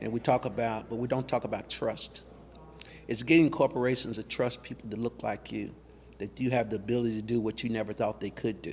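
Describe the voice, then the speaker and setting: A man with an American accent, medium pitch and vocal fry, fairly quick in pace with fairly even intonation. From US, Louisville Kentucky. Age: 60s. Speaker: museum founder. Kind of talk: interview.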